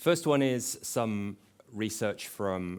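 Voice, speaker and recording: A man with an English accent talks at a fairly low pitch. The recording is very clean, with a silent background. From England. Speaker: conference speaker, tech company representative. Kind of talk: conference presentation.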